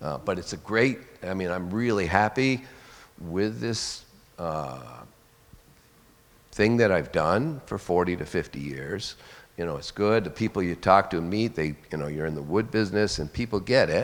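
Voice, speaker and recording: A man's very deep, low voice with lively intonation, a moderate pace and long, frequent pauses. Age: 60s. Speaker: forest industry worker. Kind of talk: audience question. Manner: halting.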